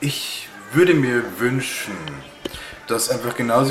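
Noticeable background noise can be heard. A man talks, and room echo is audible around him. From Bavaria, Upper Palatinate. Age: 30s. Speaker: bartender. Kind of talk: interview.

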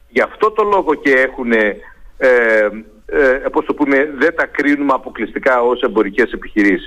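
A man talks at a moderate pace. His loudness stays very even throughout. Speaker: university professor of communication and media. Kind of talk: radio interview. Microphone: phone line dropped.

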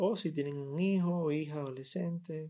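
Very slowly, a man speaks in a dark, mellow, somewhat breathy tone. His pitch variation is ordinary. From Cuba, Havana. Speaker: poet and poetry podcaster. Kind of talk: casual talk between poetry readings. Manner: halting, with many fillers and repetitions.

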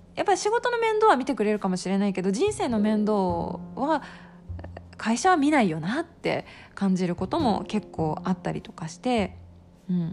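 There is noticeable background noise as a woman talks in a relaxed tone. She keeps a moderate pace, with long, frequent pauses. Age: 30s. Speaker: podcast host. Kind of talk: casual solo talk.

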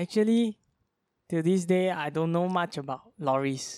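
The recording is very clean, with a silent background and a dry, close sound with no echo. Speech comes at a moderate pace. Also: man. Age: young. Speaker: podcast co-host. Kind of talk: casual chat. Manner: trying to enunciate clearly.

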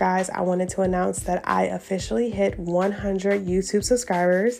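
A woman speaks at a moderate pace and a medium pitch, her intonation fairly even, with music playing in the background. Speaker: podcast host and content creator. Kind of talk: casual solo talk with tips. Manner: conversational with frequent fillers and laughs.

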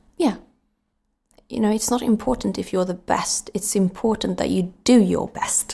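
A woman's medium-pitched, dark, mellow voice with vocal fry, ordinary pitch variation and a moderate pace. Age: 20s. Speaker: actor and model. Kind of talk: casual chat.

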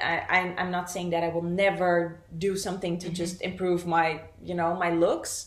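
With a Portuguese accent, a woman speaks at a moderate pace with hardly any pauses, in a fairly low, monotone, flat voice, against noticeable background noise. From Brazil, raised in the Netherlands. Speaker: content creator. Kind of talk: casual interview chat.

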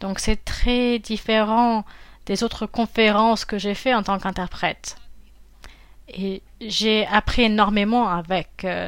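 At a fairly slow pace with long, frequent pauses, a woman speaks in a fairly high pitch with monotone, flat intonation. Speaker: interpreter and voice actor. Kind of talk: interview answers, conversational.

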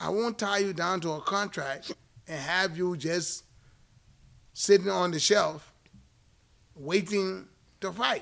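A man with an American accent talks at a very slow pace in a high pitch, with ordinary pitch variation and long, frequent pauses. The recording is very clean, with a silent background. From outside the US. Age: 50s. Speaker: boxing podcast co-host and former fighter. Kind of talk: casual chat. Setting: boxing gym.

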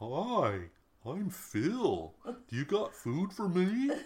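A put-on character voice at middle pitch speaks at a very slow pace. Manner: cute.

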